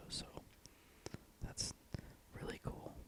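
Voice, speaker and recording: Someone whispers over noticeable background noise. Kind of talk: casual whispered talk to camera. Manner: whispered.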